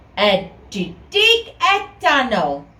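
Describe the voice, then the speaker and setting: Using a put-on character voice, a female-sounding speaker talks at a high pitch. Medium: read story.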